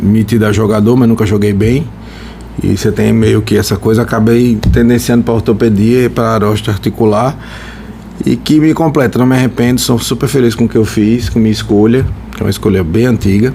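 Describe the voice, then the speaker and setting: Over noticeable background noise, a man talks at a fairly quick pace with fairly even intonation and very even loudness. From Brazil, Natal (Rio Grande do Norte), moved from São Paulo at ten. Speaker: orthopedic surgeon, podcast co-host. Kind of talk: casual podcast chat.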